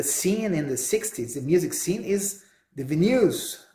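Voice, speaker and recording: A man with a Brazilian accent speaks at a high pitch with lively intonation. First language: Portuguese. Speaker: podcast host. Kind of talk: solo monologue. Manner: halting.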